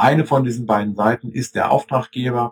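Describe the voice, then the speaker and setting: Somewhat breathy, a man at medium pitch speaks at a moderate pace with fairly even intonation. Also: dry, close sound with no echo. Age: 40s. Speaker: IT consultant. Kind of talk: interview.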